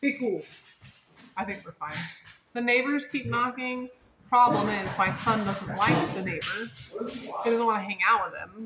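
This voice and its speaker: A woman's fairly high voice with ordinary pitch variation, long, frequent pauses and big swings in loudness, over noticeable background noise. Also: moderate pace. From North Carolina, partly raised in Las Vegas. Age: 30s. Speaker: host's niece, guest. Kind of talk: casual family chat. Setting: at home with dog and family. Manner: animated, joking.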